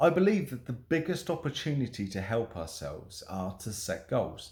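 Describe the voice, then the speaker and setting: A somewhat breathy man talks at a moderate pace with very wide pitch swings. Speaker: stuttering self-help vlogger. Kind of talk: motivational talk to camera.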